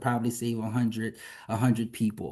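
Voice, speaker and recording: Speaking at a moderate pace with a Louisiana accent, this voice comes over a quiet background. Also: man. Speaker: physician and health policy advocate. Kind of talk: interview conversation. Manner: hesitant with fillers.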